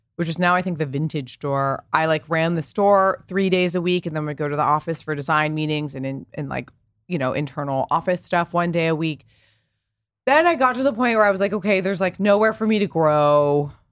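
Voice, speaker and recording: Speaking with an American accent, a woman has a plain, everyday voice, a fairly low pitch and a fairly quick pace, recorded very cleanly against a silent background. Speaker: fashion entrepreneur and content creator. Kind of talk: casual interview chat. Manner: fast, filler-heavy.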